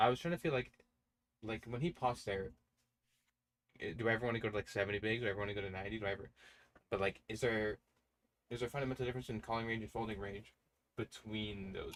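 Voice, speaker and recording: The speech moves at a very fast pace, broken by long, frequent pauses, with ordinary pitch variation. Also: man. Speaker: online poker streamer. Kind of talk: live stream commentary while playing. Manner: stuttering, halting; casual, thinking aloud.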